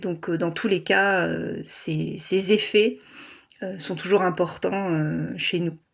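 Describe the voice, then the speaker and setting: Using a put-on character voice, a woman talks at a fairly slow pace, hoarse and fairly low in pitch, with fairly even intonation. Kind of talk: tarot or astrology reading.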